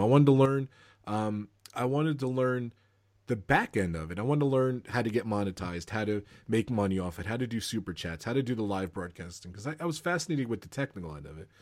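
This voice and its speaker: A man with an American accent at a very fast pace, on a very clean recording with a silent background. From New Jersey, US. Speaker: live streamer and Disney fan. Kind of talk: casual interview chat.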